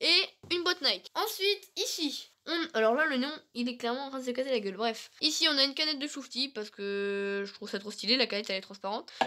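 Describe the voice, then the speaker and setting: A woman's raised, projected voice runs at a very fast pace, high in pitch with very wide pitch swings. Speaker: gaming YouTuber. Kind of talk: casual setup tour vlog.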